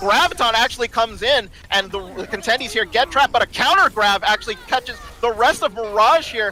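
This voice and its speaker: A man's raised, projected voice at an extremely high pitch, very fast, with noticeable background noise. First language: not English. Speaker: esports caster. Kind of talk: live commentary. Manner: animated.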